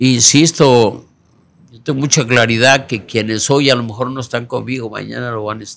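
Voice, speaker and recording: A man at a moderate pace with fairly even intonation and big swings in loudness. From Mexico, Guerrero. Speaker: politician, senate candidate; candidate. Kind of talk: interview. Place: studio. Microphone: studio mic.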